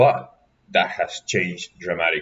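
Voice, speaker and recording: A man talks with an Argentine accent. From Argentina. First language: Spanish. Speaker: graduate researcher and lecturer. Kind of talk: workshop lecture.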